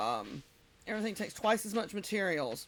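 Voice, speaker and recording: A woman with a Southern US accent talks at a fairly high pitch. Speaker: game streamer. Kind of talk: casual live-stream chat while gaming. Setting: live stream.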